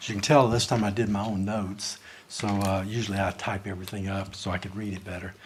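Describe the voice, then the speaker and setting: A man with a Southern US accent talks at a very fast pace in a fairly low pitch, his intonation monotone and flat, with audible room echo around him. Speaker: citizen speaker at public forum. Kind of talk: public comment. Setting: council chamber. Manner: halting.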